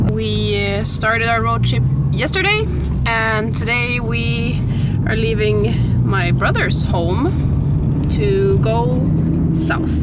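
The speech moves at a very slow pace in a dry sound with no echo, against loud background noise. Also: woman. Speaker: vlogger. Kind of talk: casual vlog chat. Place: car. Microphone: camera far.

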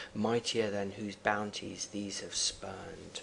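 A man with a fairly low-pitched voice is heard through noticeable background noise. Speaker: teacher. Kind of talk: lecture; poem reading aloud. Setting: online video lesson. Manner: formal; halting.

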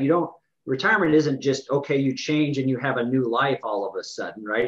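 Against a quiet background, a man talks in an ordinary speaking voice at a medium pitch with ordinary pitch variation. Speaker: financial advisor. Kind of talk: casual interview. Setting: in-person office recording with video. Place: office. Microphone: video call.

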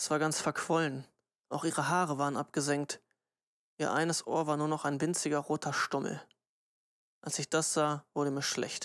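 The speech moves at a moderate pace, broken by long, frequent pauses. The recording is very clean with a silent background. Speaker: audiobook narrator. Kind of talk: audiobook narration, reading a novel aloud. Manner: steady, measured reading, grave and subdued.

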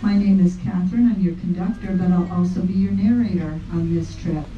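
Light background noise and audible room echo are present. The speech moves at a moderate pace. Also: woman. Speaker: train conductor narrator. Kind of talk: tour guide narration. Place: train.

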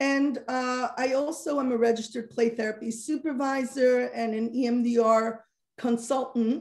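Against a quiet background, a speaker with an American accent talks at a fairly slow pace in a monotone, flat intonation. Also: woman, high pitch for a woman. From Monsey, New York, US; New York. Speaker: social worker and parenting coach; parenting coach. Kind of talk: interview. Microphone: video call.

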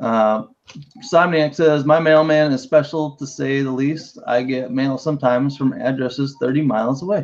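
At a fairly slow pace, a man speaks with medium pitch and fairly even intonation. His tone is slightly mellow.

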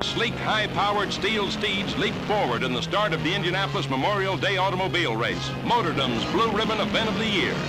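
With clear music in the background, the talk runs at a fairly quick pace with hardly any pauses. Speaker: newsreel narrator. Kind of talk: newsreel narration. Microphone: old recording.

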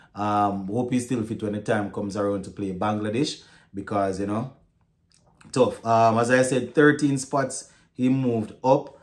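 Against a quiet background, a man with an unremarkable speaking voice and fairly low pitch talks at a fairly slow pace with fairly even intonation. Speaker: sports vlogger. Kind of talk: casual commentary. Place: home room.

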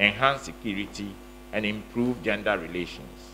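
Light background noise sits behind a man speaking at a moderate pace with fairly even intonation. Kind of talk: formal speech. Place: hall. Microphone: podium.

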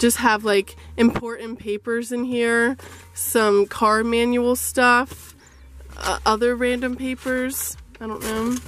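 At a very slow pace and in monotone, flat intonation, the voice comes through dry with no echo, over light background noise. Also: woman. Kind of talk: casual vlog chat. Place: car. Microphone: phone near.

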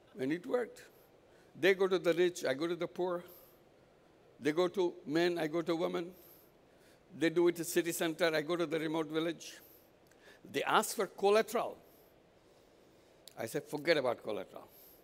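The man has a high pitch with ordinary pitch variation. He talks at a fairly quick pace. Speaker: keynote speaker. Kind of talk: conference keynote talk. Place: hall. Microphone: headset.

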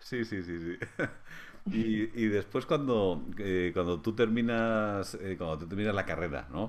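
Speaking at a fairly slow pace, a man uses a fairly low pitch. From Spain, Madrid. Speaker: physiotherapy lecturer. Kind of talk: interview conversation. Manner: halting, many hesitations. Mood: warm, smiling, relaxed. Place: home room. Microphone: video call.

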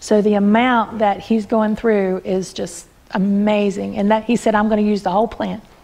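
Here a woman speaks with an Appalachian accent. Her voice sits at a fairly high pitch. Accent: Appalachian US Southern. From Appalachian mountains, US. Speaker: master herbalist; presenter. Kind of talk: workshop talk to a live audience; informal talk to a small group. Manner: hesitant, with many fillers. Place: home room.

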